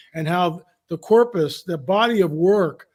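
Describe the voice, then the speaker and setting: High-pitched male voice with an animated tone and ordinary pitch variation. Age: 70s. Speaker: Bible prophecy researcher, podcast guest. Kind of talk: casual podcast interview. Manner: animated, repetitive stammering restarts.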